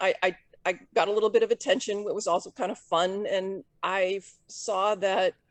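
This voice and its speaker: The voice has an American accent and ordinary pitch variation. The sound is dry and close, with no echo. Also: woman. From Southern California. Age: 50s. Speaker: professional disc golfer. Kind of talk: interview.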